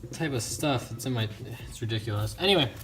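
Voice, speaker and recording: Music plays in the background. A man talks at a medium pitch with ordinary pitch variation. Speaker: motorcycle hobby YouTuber. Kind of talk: casual video vlog. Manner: fast; hesitant, filler-heavy.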